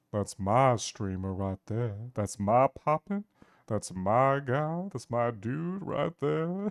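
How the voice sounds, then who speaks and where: A very slow, put-on character voice from a man at medium pitch. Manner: casual, bragging.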